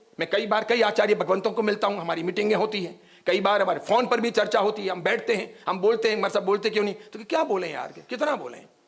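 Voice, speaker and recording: A man's high voice with ordinary pitch variation amid noticeable background noise. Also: moderate pace, hardly any pauses. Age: 60s. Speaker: Jain monk and preacher. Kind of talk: sermon. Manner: forceful, outspoken.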